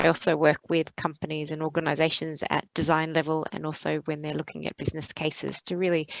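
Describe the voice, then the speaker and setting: With an Australian accent, a woman talks at a fairly quick pace in a very deep, low pitch. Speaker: sustainability consultant. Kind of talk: panel webinar discussion. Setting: video call webinar.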